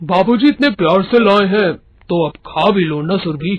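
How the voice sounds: In a cartoonish character voice, the man speaks at a high pitch. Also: moderate pace.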